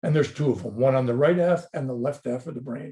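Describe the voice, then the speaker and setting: A dark, mellow, somewhat breathy voice rushes along at a very fast pace with ordinary pitch variation. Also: man. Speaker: dentist lecturer. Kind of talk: webinar lecture. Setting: online webinar. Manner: passionate, animated.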